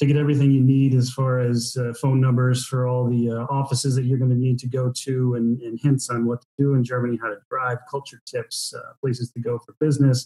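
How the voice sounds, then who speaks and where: A man with an American accent, somewhat breathy, with a dark, mellow tone, a medium pitch, monotone, flat intonation, a fairly quick pace, and hardly any pauses. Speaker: business owner, guest. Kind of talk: podcast interview. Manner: hesitant, many fillers.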